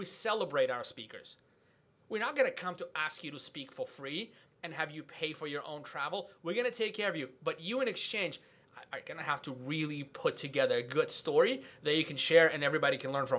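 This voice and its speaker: Speaking at a fairly quick pace, a man uses a fairly high, animated voice with a bright, sharp tone. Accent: non-native. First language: not English. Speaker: podcast host and event organizer. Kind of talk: casual podcast conversation.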